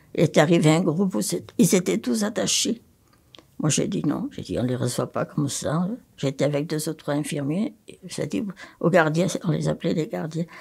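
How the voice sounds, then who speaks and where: With vocal fry and a very deep, low pitch, a woman speaks with lively intonation. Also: moderate pace, big swings in loudness, very clean recording, silent background. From France, Haute-Loire. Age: 80s+. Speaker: nun and retired psychiatric nurse. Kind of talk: testimony.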